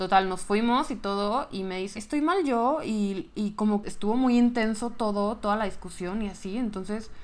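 The speech comes at a moderate pace in a Mexican accent with ordinary pitch variation. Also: woman. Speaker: podcast co-host. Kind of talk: casual chat.

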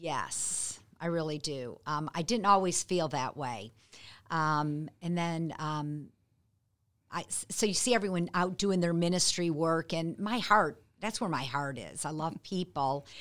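A woman speaks at a fairly slow pace, her pitch fairly low with ordinary variation. The recording is very clean, with a silent background. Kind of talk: casual interview. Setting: podcast studio. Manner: quiet-spoken.

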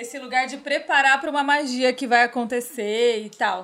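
Her voice is high-pitched for a woman. She keeps a fairly even intonation. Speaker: podcast host and astrologer. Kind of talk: casual chat. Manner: fast.

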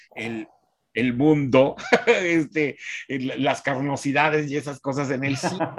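A man with a Mexican accent, music in the background. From Mexico (San Luis Potosí). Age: 60s. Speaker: film critic. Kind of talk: interview.

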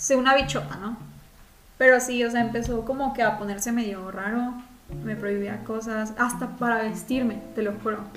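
A woman with a Mexican accent speaks at a moderate pace and a fairly high pitch. Audible room echo and noticeable background noise surround her voice. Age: young. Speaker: podcast co-host. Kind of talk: casual chat. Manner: animated.

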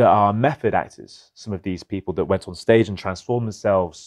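In a dry, close recording with no echo, a man with a fairly low pitch talks at a moderate pace and fairly even intonation. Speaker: podcast host. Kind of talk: casual interview.

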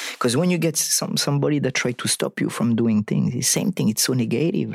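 A man with a French accent speaks in a medium pitch with lively intonation. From southern France. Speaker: actor and stuntman. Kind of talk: casual interview. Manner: halting, repeats words.

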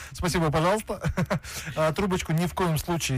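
Noticeable background noise runs under the recording. A man is speaking. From Kazakhstan. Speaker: radio host. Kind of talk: casual chat.

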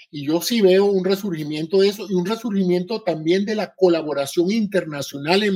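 His pitch shifting in an ordinary way, a man keeps to a moderate pace. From Venezuela. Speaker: retired physician and biomedical engineer. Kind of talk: live audio-room talk.

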